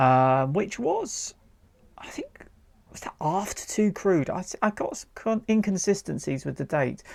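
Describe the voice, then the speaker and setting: Speaking at a fairly slow pace with a British accent, the voice comes through on a very clean recording with a silent background. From United Kingdom. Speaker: retro gaming YouTuber. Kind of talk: gameplay commentary. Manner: casual, relaxed.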